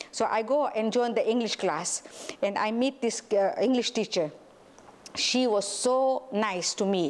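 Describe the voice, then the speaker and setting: A woman with a fairly high pitch and an animated tone speaks at a fairly slow pace with ordinary pitch variation and very even loudness, over noticeable background noise. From Tanzania. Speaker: school owner and director. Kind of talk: interview, personal life story. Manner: halting, many fillers.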